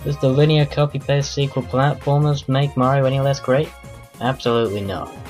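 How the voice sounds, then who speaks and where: A man moves at a fairly quick pace with ordinary pitch variation while music plays in the background. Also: medium pitch for a man. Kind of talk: casual game countdown commentary.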